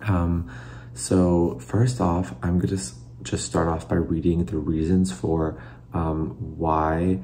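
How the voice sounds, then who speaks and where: Soft-spoken and somewhat breathy, a man with an American accent talks at a fairly slow pace in a very deep, low pitch. His tone is dark and mellow, with audible room echo around it. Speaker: former figure skater turned commentator. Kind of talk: casual reaction video. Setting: at home, late at night. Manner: halting, many fillers.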